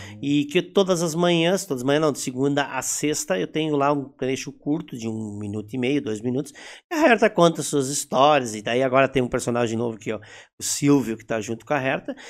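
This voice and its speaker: A normal speaking voice with lively intonation and big swings in loudness. The recording is very clean, with a silent background. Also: man, fairly high pitch for a man. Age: 50s. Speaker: actor and theatre director. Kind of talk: casual interview chat.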